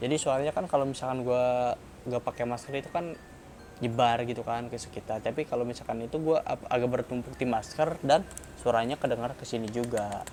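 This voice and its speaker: A man's very fast speech with fairly even intonation, music in the background. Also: medium pitch for a man. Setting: speaking through a face mask. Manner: muffled, resonant voice from the mask.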